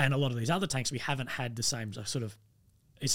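With an Australian accent, a man talks at a medium pitch. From Australia, rural Victoria. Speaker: army veteran. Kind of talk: casual chat.

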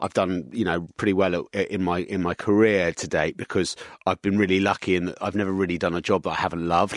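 A London accent at a fairly quick pace with ordinary pitch variation, in a dry, close sound with no echo and a very clean recording over a silent background. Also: man. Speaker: business executive. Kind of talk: interview.

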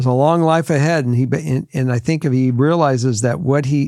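Recorded very cleanly against a silent background, a man speaks at a medium pitch with ordinary variation and a dark, mellow tone. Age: 60s. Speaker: podcast host, father giving advice. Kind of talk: casual chat. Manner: halting, repeats words.

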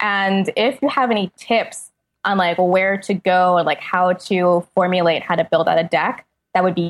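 The sound is dry and close with no echo as a woman speaks at a moderate pace, her loudness very even and her pitch variation ordinary. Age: 20s. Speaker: freelance writer and critic. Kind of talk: casual chat.

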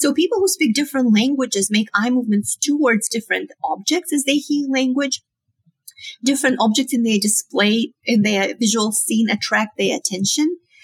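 A woman with a high pitch and a Romanian accent speaks at very even loudness, the sound dry and close with no echo. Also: lively intonation, moderate pace. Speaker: psychology professor. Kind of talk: interview.

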